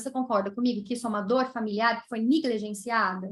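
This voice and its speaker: A woman speaks with a slight Brazilian accent. Her tone is bright and sharp. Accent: non-mineiro Brazilian accent, slight. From Brazil, not Minas Gerais. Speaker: nurse and professor of palliative care. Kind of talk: conference talk Q&A.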